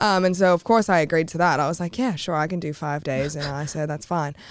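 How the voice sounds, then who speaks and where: A fairly low-pitched woman with an Australian accent and ordinary pitch variation on a very clean recording with a silent background. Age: 20s. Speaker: content creator and adult performer. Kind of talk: casual interview chat.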